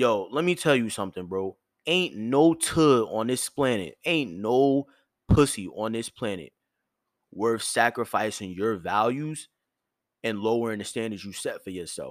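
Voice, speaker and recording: On a very clean recording with a silent background, a man speaks at a medium pitch. His intonation is lively. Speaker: podcast host. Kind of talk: solo monologue podcast. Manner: firm yet soft tone; casual with filler words.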